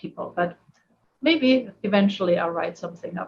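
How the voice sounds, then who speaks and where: A woman speaks with a German accent at a moderate pace. Her voice is somewhat breathy. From Germany. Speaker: therapist. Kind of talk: casual chat.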